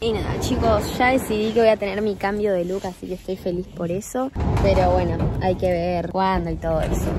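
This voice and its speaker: A woman talks at a moderate pace over noticeable background noise, the sound dry with no echo. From Argentina. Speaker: vlogger. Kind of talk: casual vlog. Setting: in a car.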